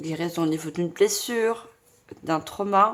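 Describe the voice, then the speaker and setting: A loud woman's voice with lively intonation at a very slow pace. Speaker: tarot reader / medium. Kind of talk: tarot reading guidance. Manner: trying to speak loudly.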